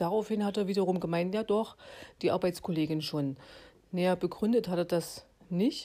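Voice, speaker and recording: Her tone is dark and mellow, with ordinary pitch variation at a moderate pace. The woman is heard in a very clean recording with a silent background. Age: 40s. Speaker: podcast host. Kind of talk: solo podcast monologue. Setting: at home.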